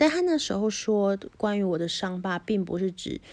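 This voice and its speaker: This woman speaks at a moderate pace and a medium pitch. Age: 30s. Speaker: podcaster. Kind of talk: personal storytelling monologue. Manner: hesitant, many fillers.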